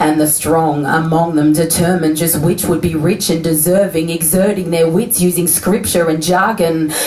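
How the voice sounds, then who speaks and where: Noticeable background noise sits behind a woman speaking at a moderate pace with a fairly low pitch and fairly even intonation. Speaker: slam poet. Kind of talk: spoken word poetry performance.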